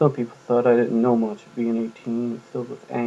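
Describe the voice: The text is read aloud plainly.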